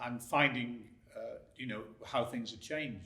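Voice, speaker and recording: Over audible room echo, a man speaks at a medium pitch with a bright, sharp tone. He goes at a very slow pace with fairly even intonation. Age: 60s. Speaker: drone video business owner. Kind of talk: interview.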